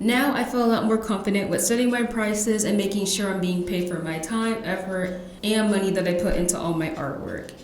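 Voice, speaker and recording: A woman at medium pitch and a fairly quick pace, with ordinary pitch variation and hardly any pauses, amid noticeable background noise. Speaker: podcast host. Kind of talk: podcast trailer narration. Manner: soft-spoken.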